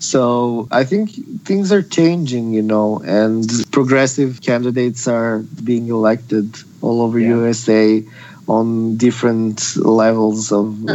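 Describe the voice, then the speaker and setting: A man with a Serbian accent, medium in pitch, at a fairly slow pace, with ordinary pitch variation, very even loudness and noticeable background noise. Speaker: activist. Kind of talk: casual chat.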